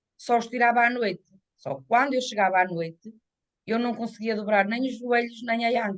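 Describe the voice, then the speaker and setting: The speaker is a woman with a fairly high pitch. She talks at a moderate pace with ordinary pitch variation. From northern Portugal, Minho (São Mamede d'Este, Braga). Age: 60s. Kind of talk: interview testimony. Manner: halting.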